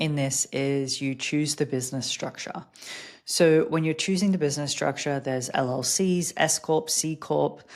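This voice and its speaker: A woman's very deep, low voice with an Australian accent, fairly slow pace and fairly even intonation. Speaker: podcast host and business coach. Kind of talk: casual podcast monologue.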